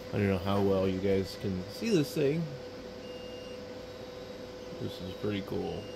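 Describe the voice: Through clear background noise, a man with a low pitch and vocal fry speaks at a fairly slow pace with lively intonation.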